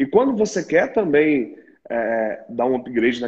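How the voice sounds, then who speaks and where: Over a quiet background, a man with a fairly high pitch talks in a normal speaking voice with lively intonation. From Minas Gerais, Brazil. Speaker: podcast host in pharmacy retail sector. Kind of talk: interview conversation.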